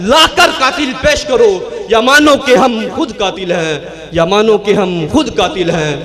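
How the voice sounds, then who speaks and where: Against noticeable background noise, a man speaks at an extremely high pitch with very wide pitch swings. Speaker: young Islamic student giving a speech. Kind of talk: passionate oratory speech at an Islamic school event. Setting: stage speech to an audience. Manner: loud, fiery, rhetorical, delivered in a rhythmic declamatory style.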